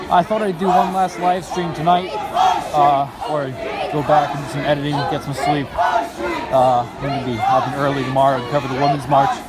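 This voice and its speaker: With crowd noise behind him, a man speaks in a dry sound with no echo. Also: ordinary pitch variation, fairly quick pace. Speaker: citizen live streamer. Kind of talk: live commentary. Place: street. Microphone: phone near.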